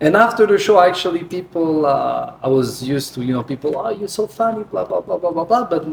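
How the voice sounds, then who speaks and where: Over noticeable background noise, a man with an Italian accent speaks very fast in a high pitch with ordinary pitch variation. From Naples, Italy. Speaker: comedian and singer. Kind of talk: interview. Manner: halting.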